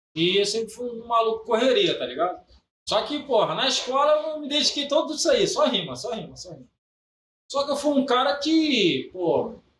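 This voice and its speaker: Speaking at a moderate pace, a man uses an extremely high pitch and lively intonation. His loudness swings widely. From Belford Roxo, Rio de Janeiro, Brazil. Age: 30s. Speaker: funk MC. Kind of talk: casual chat.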